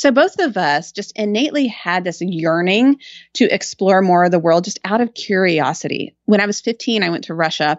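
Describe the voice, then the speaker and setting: A woman with a plain, everyday voice, medium pitch and an American accent speaks fairly quickly with lively intonation. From Texas, Austin. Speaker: writer and podcaster. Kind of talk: casual chat.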